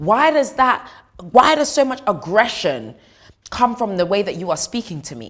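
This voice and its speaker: The voice swings very widely in pitch and sounds animated. Vocal fry runs through it. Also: woman. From East London, England. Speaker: news anchor. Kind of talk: reading and reacting to viewer comments.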